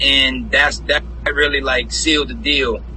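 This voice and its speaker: In a New Orleans accent, a man speaks at a moderate pace. Noticeable background noise and audible room echo are present. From New Orleans, Louisiana. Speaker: independent rapper and music producer. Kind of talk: interview. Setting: live stream.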